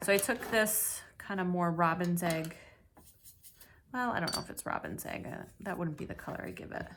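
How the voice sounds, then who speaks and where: Over noticeable background noise, a woman speaks at a moderate pace in a fairly low pitch with ordinary pitch variation. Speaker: watercolor art teacher. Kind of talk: tutorial. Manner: casual, conversational.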